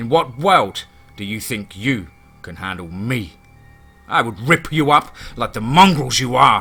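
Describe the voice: Over faint music in the background, a man uses a put-on character voice with lively intonation. His tone is bright and sharp, with a slightly husky edge. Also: medium pitch for a man, fairly slow pace.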